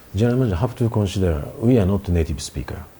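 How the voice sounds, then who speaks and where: Here is a man with a Japanese accent. His intonation is lively. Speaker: country manager of a tech company. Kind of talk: interview. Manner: halting.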